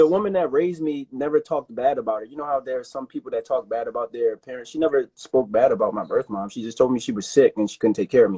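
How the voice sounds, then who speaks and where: A man talks at a very fast pace in an American accent with hardly any pauses. His loudness swings widely. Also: dry, close sound with no echo. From Baltimore, US. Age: 30s. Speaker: rugby player and personal trainer. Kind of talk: casual interview chat.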